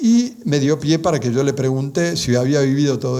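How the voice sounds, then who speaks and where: A man speaks with an Argentine accent. Room echo and background noise are both noticeable. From Argentina. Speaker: lecturer on religious apparitions. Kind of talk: lecture. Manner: halting, many fillers and restarts.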